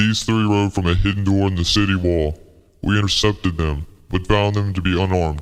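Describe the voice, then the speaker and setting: A man does a put-on character voice at a very deep, low pitch. He talks at a fairly quick pace in a monotone, flat intonation. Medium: audio drama. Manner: military, clipped.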